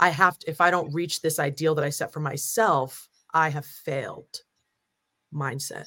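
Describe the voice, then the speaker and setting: In a very deep, low voice with a bright, sharp tone, a woman with an American accent speaks with fairly even intonation on a very clean recording with a silent background. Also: moderate pace. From New Jersey, US. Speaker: facilitator and strategist. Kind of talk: casual interview.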